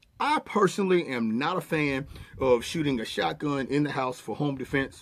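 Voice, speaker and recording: This man talks at a fairly high pitch with lively intonation and a moderate pace. His loudness swings widely. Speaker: firearms instructor. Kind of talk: tutorial. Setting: outdoor shooting range.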